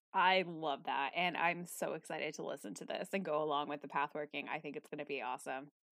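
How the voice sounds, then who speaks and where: A woman with a very deep, low pitch speaks at a very fast pace with hardly any pauses and ordinary pitch variation. The sound is dry and close, with no echo. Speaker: podcast host. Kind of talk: casual interview chat. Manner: enthusiastic, friendly.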